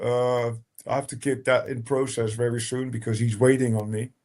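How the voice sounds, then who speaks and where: This man speaks at a fairly quick pace with a dark, mellow tone. His intonation stays monotone and flat. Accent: Rotterdam. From Netherlands, Rotterdam. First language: Dutch. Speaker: techno DJ and producer. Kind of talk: casual chat. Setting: live stream.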